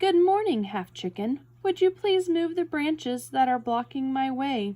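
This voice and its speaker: A woman puts on a character voice, pitched high and swinging very widely in pitch. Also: moderate pace. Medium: read story.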